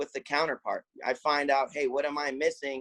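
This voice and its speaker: The sound is dry and close, with no echo. A man speaks at a moderate pace with fairly even intonation. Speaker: lacrosse coach and entrepreneur. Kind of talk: casual interview. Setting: call. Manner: loud; intense, passionate.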